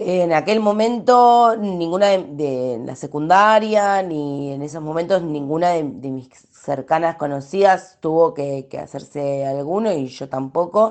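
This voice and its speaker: Lively intonation and big swings in loudness at a fairly slow pace, with hardly any pauses. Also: woman, fairly low pitch for a woman. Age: 30s. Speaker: sociologist and activist. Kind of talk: testimony. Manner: halting.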